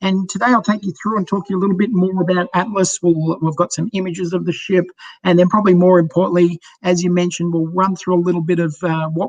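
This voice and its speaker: The man has an Australian accent and a high pitch. He speaks at a very fast pace with fairly even intonation over noticeable background noise. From Australia, Sydney. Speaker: cruise line sales director. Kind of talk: sales presentation.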